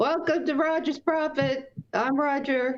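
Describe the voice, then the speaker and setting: Using a put-on character voice, the speaker sounds high-pitched and wheezy at a fairly slow pace. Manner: welcoming.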